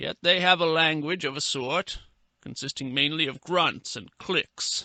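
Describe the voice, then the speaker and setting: A man puts on a character voice, fairly high-pitched, with ordinary pitch variation. He speaks at a fairly slow pace against a quiet background. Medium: read story. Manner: measured, erudite.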